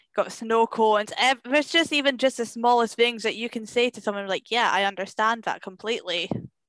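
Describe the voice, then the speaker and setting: With a Scottish accent, a woman talks at a fairly quick pace with hardly any pauses, her fairly high pitch showing ordinary variation. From Scotland. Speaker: film critic and podcaster. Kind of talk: casual chat. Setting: at home.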